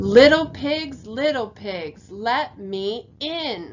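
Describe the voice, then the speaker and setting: A woman puts on a character voice, growling at a fairly high pitch. She speaks at a very slow pace. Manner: growling, menacing.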